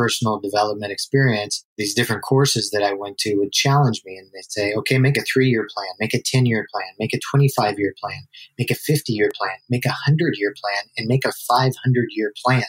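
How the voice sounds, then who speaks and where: A man with an ordinary speaking voice talks at a moderate pace, his pitch medium and his intonation fairly even. The sound is dry and close, with no echo. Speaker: business coach and entrepreneur. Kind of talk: interview conversation.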